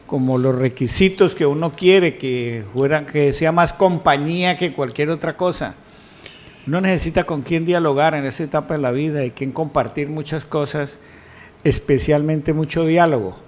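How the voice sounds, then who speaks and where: A man's plain, everyday voice, fairly high-pitched, with ordinary pitch variation at a moderate pace. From Colombia, Huila (Yaguará). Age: 60s. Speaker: news panelist.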